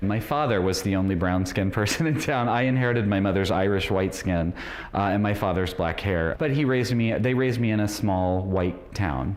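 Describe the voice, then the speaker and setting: A man's voice at a fairly quick pace, with ordinary pitch variation and very even loudness, amid audible room echo and noticeable background noise. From rural Illinois, US Midwest. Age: 40s. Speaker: debate contestant. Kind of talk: interview. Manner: halting, with many fillers.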